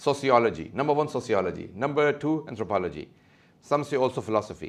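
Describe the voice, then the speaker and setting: A man talks very fast at a medium pitch, with vocal fry and lively intonation. His loudness is very even, and the background is quiet. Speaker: Islamic scholar. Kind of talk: lecture.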